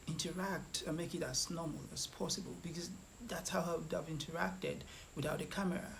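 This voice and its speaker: A man with a Nigerian accent talks at a fairly quick pace in a high pitch, his intonation fairly even, with noticeable background noise and audible room echo. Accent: Nigerian Igbo English. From Nigeria, Igbo area. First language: Igbo. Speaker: food vlogger. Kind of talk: vlog commentary. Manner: halting, repeats words.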